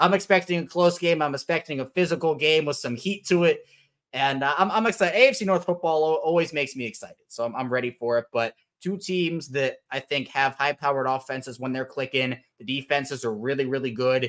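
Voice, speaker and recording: With an ordinary speaking voice, a man with an American accent talks at a fairly quick pace, his fairly high pitch showing ordinary variation in a very clean recording with a silent background. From Baltimore, Maryland. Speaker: sports podcaster and writer. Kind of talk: casual chat.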